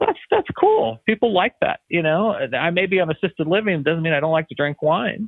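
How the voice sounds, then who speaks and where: A man's plain, everyday voice, fairly high in pitch, at a fairly quick pace with ordinary pitch variation. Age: 60s. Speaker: senior living company founder and CEO. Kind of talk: interview.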